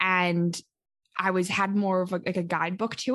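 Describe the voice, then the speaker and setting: Against a quiet background, a woman of medium pitch speaks in a Western Canadian accent. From Calgary, Alberta, Canada. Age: 20s. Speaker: podcaster and traveler. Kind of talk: casual interview chat.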